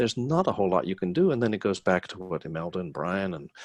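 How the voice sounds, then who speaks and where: A man with a normal speaking voice and a fairly low pitch talks fairly quickly with lively intonation, recorded dry and close with no echo. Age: 60s. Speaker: hospitality business owner and panelist. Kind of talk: webinar panel discussion.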